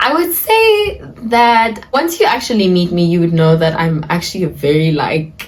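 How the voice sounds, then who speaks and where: A woman speaks at a moderate pace and medium pitch, her pitch swinging very widely. Audible room echo and noticeable background noise come through. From South Africa. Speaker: lifestyle and dance vlogger. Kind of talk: casual Q&A vlog talk. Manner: casual, chatty.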